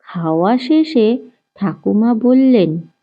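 At a slow pace, a woman speaks at medium pitch with big pitch swings.

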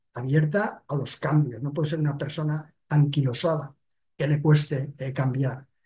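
A somewhat breathy man with a fairly high pitch and a dark, mellow tone. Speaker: retired head of surgery. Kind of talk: webinar presentation. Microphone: webcam.

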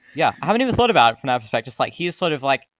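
A man talks at a very fast pace at a medium pitch, his voice making big pitch swings. The sound is dry and close with no echo, and the tone is fairly bright.

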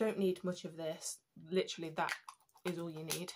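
The voice has a slightly mellow tone and moves at a moderate pace. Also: woman.

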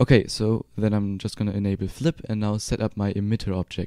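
A man with a German accent speaks at a medium pitch and a moderate pace, his tone dark and mellow. The sound is dry and close with no echo, on a very clean recording with a silent background. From Germany. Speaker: 3D software tutorial creator. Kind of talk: tutorial. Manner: casual.

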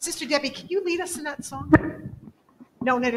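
High-pitched female voice with lively intonation and a fairly quick pace over light background noise. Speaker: church service leader. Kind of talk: church announcements and prayer. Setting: church. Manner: warm, casual. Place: church.

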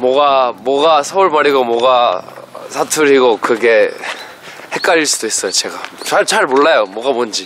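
Speaking at a fairly slow pace with long, frequent pauses, a man uses ordinary pitch variation in a dry recording with no echo and light background noise. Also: fairly high pitch for a man. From England. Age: young. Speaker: busker. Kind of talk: casual conversation. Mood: cheerful, relaxed. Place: open country.

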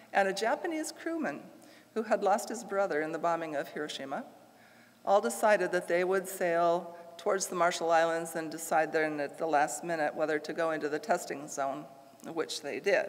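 In an ordinary speaking voice, a woman talks at a moderate pace with a fairly low pitch and ordinary pitch variation. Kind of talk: lecture. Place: church.

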